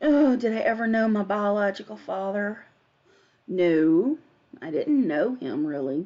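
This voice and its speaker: In an American accent, a woman speaks at a fairly slow pace. Her voice sits at a medium pitch with very wide pitch swings. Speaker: live streamer. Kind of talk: casual live stream chat. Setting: live stream.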